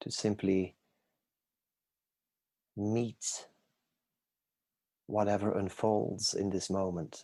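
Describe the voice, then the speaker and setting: Very slow speech from a man with a fairly low, dark, mellow voice, flat and monotone, broken by long, frequent pauses. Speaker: meditation guide. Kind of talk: inspirational talk to live online audience.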